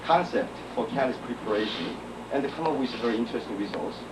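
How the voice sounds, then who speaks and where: Noticeable background noise and audible room echo surround a man with a Korean accent and lively intonation. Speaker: chemical engineer. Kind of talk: conference talk. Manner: halting, many fillers.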